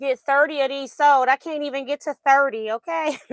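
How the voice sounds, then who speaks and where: A woman with a high voice speaks in fairly even intonation, the sound dry and close with no echo. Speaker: quilting livestream host. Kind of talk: casual livestream chat. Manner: hesitant, with fillers.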